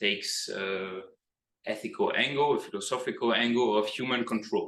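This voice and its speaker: A man with a Greek accent speaks in a bright, sharp tone at a moderate pace. Audible room echo surrounds his voice. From Greece. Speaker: PhD researcher. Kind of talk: lecture. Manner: hesitant with many fillers.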